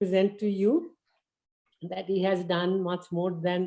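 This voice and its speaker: A woman speaks at a medium pitch with an Indian accent and a dark, mellow tone. Her intonation is monotone and flat, and her pace is fairly slow. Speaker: volunteer lecturer. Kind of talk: class presentation.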